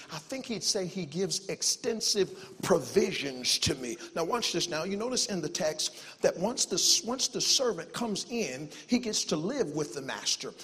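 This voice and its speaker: Amid noticeable background noise, a man speaks with a high pitch. His tone is animated and his intonation lively. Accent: American. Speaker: visiting preacher. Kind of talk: sermon, preacher in full flow, exhorting a church congregation with call-and-response. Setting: church with congregation. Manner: fast talker, self-aware of speed.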